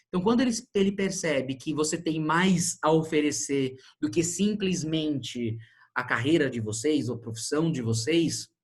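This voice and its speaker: A man speaks with a high pitch. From Brazil, São Paulo. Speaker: HR recruiter. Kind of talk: online talk / workshop. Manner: fast.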